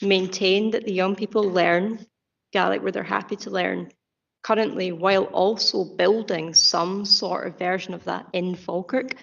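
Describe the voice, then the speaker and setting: A woman speaks with a Scottish accent at a medium pitch and moderate pace. Her intonation is monotone and flat, with vocal fry. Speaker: youth representative on council committee. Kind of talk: committee meeting questioning. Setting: council committee meeting.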